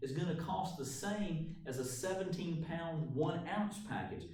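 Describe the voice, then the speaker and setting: A man's high voice, full of lively intonation, rings with audible room echo. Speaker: math teacher. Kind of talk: tutorial. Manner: casual.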